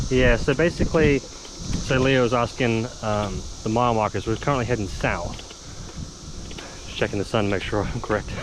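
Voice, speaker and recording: There is noticeable background noise behind this man, whose pitch moves in an ordinary way. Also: medium pitch for a man, moderate pace. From England. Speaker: outdoor vlogger and father. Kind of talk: casual vlog narration while cycling. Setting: outdoors on a bike trail. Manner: relaxed, many fillers (uh, um).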